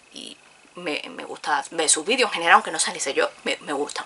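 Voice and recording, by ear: With a low pitch, a bright, sharp tone and a slightly husky edge, a woman speaks at a fairly quick pace.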